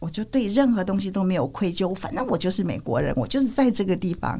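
A woman's voice with very wide pitch swings and vocal fry. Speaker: physician and public health scholar. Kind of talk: interview conversation. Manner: hesitant with fillers and laughter.

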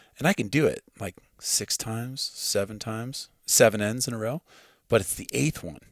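Captured in a very clean recording with a silent background and a dry, close sound with no echo, a man with an American accent speaks at a fairly low pitch with ordinary pitch variation. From US Midwest, farm. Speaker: hunter and archer. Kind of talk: casual chat. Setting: at his home.

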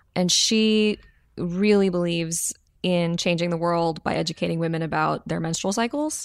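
An unremarkable speaking voice with an American accent moves at a moderate pace with fairly even intonation. The recording is very clean with a silent background. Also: woman, fairly low pitch for a woman. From US small town. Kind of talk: podcast interview.

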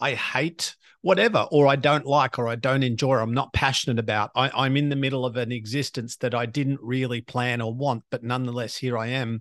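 With an Australian accent, the speaker moves at a fairly quick pace with hardly any pauses and fairly even intonation, in a dry, close sound with no echo and a quiet background. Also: man, medium pitch for a man. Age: 50s. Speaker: podcast host and motivational speaker. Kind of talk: interview.

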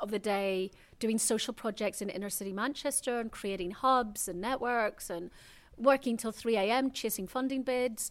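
A woman in a Northern Irish accent, fairly high in pitch, with ordinary pitch variation and a moderate pace. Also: very clean recording, silent background. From Northern Ireland, Belfast. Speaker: spiritual teacher. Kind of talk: casual chat. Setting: eco hotel in the jungle, Mexico.

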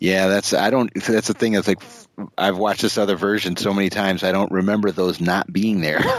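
With an unremarkable speaking voice, a man talks at a fairly quick pace and fairly low pitch, his loudness very even and his intonation fairly even. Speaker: film podcast panelist. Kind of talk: casual chat.

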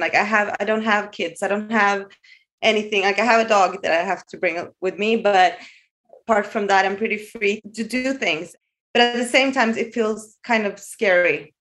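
A woman in a Norwegian accent, medium pitch, fairly even intonation and moderate pace. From Norway. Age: 40s. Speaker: caller. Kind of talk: casual chat.

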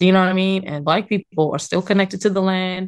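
A woman speaks in an unremarkable speaking voice at a medium pitch. Her intonation stays fairly even against a quiet background. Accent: American. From New York. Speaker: urban farmer. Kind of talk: interview.

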